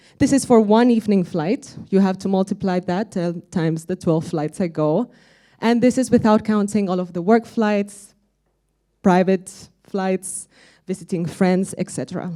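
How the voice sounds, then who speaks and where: A woman with a medium pitch and a dark, mellow tone talks at a moderate pace with ordinary pitch variation, recorded very cleanly against a silent background. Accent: Spanish. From Spain, Madrid. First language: Spanish. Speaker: conference speaker, aviation software sustainability lead. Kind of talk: conference presentation.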